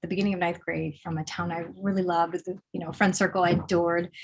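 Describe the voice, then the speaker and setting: This woman has an American accent and a medium pitch. Her voice is somewhat breathy. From Pennsylvania, US. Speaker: poet. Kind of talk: interview.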